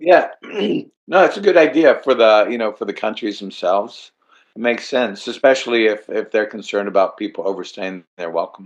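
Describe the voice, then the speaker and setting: Lively intonation from a man at a medium pitch. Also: fairly quick pace. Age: 60s. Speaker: traveler sharing trip experience. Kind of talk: casual chat. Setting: video call. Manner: halting.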